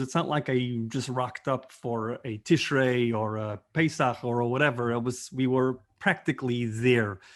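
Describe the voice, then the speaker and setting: A man with a plain, everyday voice and an American accent speaks at a medium pitch. His pace is moderate, with a quiet background. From New York, Brooklyn (Borough Park). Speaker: rabbi. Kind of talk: interview storytelling. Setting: video call.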